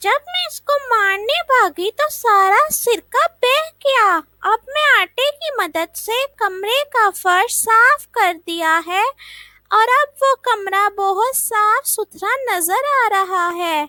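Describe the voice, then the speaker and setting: Very slowly, a woman performs a put-on character voice at an extremely high pitch, recorded with a dry, close sound and no echo. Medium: read story. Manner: childishly naive.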